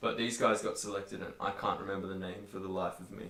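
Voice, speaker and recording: A man with an Australian accent talks at a very fast pace in a fairly low pitch. Audible room echo surrounds his voice. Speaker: metal band musician. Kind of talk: casual chat. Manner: animated.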